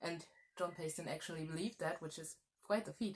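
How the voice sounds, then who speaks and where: A woman talks with a German accent. Her intonation stays fairly even. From Germany. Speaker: historian. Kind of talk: history talk. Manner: halting, self-correcting.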